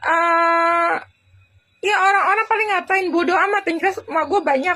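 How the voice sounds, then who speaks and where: The voice is raised and projected, bright and sharp in tone, with ordinary pitch variation. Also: woman. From Indonesia, Jakarta. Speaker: vlogger. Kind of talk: casual vlog monologue. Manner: hesitant, repetitive.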